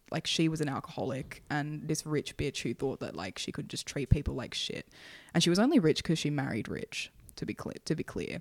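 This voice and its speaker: In an Australian accent, a woman talks at a fairly quick pace with a very deep, low pitch, vocal fry and lively intonation, captured as a very clean recording with a silent background and a dry, close sound with no echo. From Sydney, Australia. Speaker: former hospital nurse. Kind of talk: casual chat.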